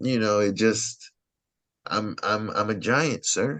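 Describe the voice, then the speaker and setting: The man's voice sits at medium pitch with ordinary pitch variation. He speaks at a very slow pace. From Louisiana, New Orleans. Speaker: stand-up comedian. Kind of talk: casual chat. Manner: animated.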